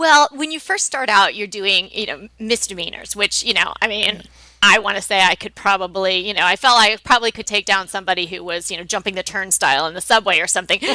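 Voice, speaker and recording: A woman with a New York accent speaks very fast at a medium pitch, with hardly any pauses. Her tone is bright and sharp, her pitch varies in an ordinary way, and the recording is very clean with a silent background. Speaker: decorating blogger and co-host, former trial lawyer. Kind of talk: casual chat.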